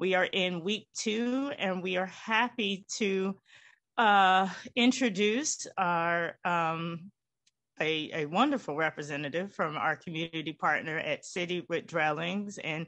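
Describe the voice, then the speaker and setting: Against a quiet background, a woman with a medium-pitched voice speaks at a fairly slow pace with ordinary pitch variation. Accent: Southern US. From Winston-Salem, North Carolina. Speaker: church event co-host. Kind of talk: formal introduction. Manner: halting.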